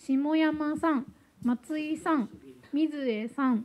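A woman speaks at a very slow pace with a high pitch. Her pitch variation is ordinary. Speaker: staff member. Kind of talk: announcements at meeting. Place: hall. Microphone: handheld.

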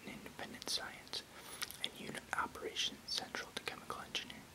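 Whispering, a man speaks at a fairly quick pace. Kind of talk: reading aloud an encyclopedic text. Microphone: webcam.

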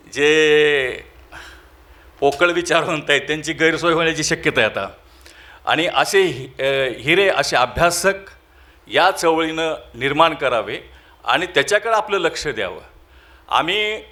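This man's voice sits fairly high, with a bright, sharp tone and ordinary pitch variation. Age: 50s. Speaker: event organizer and college lecturer. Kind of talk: presidential closing speech. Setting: auditorium with audience.

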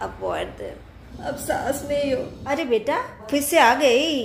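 A woman at a very slow pace, with noticeable background noise. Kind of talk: acted domestic skit dialogue. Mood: warm, chatty. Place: home room. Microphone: phone near.

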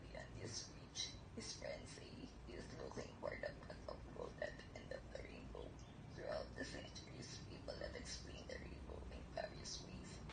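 Loud noise surrounds a woman who talks at a moderate speed. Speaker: patient. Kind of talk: standard reading passage. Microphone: handheld.

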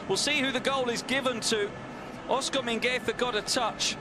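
A man talks at a moderate pace with an extremely high pitch and fairly even intonation. Noticeable background noise runs under his voice. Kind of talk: live football commentary. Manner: analytical, rattling off names and replays.

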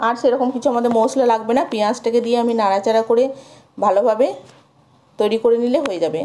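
Her voice fairly high yet dark and mellow in tone, a woman speaks at a fast pace with fairly even intonation.

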